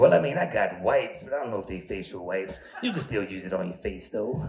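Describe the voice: A raspy put-on character voice races along at a very fast pace over clear background noise. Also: man.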